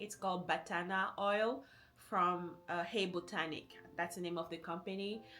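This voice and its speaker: A woman talks. Behind her, music is playing. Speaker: lifestyle vlogger. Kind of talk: casual advice vlog. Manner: conversational, friendly, with fillers.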